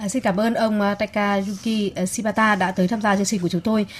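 A woman speaks at a very fast pace and medium pitch. Her voice is somewhat breathy. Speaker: radio host. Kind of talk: radio interview.

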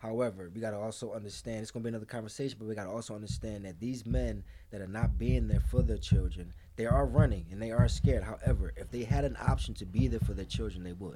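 Talking at a very fast pace, a man with a very deep, low pitch and a dark, mellow tone shows vocal fry, very wide pitch swings, and big swings in loudness amid audible room echo. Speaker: podcast co-host. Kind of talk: casual chat. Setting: dim comfortable room.

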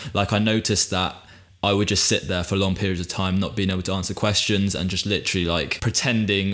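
A man with a British accent talks at a very fast pace. His intonation stays fairly even. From UK. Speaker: podcast host. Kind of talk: casual chat.

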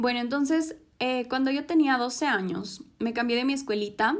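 A high-pitched woman's voice at a moderate pace. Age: 20s. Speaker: podcast host, psychology student. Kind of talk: personal testimony monologue. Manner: hesitant fillers.

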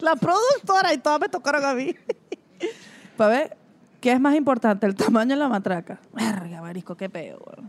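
A woman speaks at a high pitch and a moderate pace with very wide pitch swings. Her loudness swings a lot, and she takes long, frequent pauses. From Venezuela, Mérida. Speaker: podcast co-host and producer. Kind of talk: casual chat. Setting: food park.

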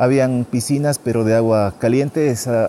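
A man with a northern Ecuadorian accent, medium pitch and fairly even intonation. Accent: northern Andean Ecuadorian Spanish. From Ecuador, Carchi province (northern Andes). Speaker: tour guide vlogger. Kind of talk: casual vlog monologue. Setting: outdoors.

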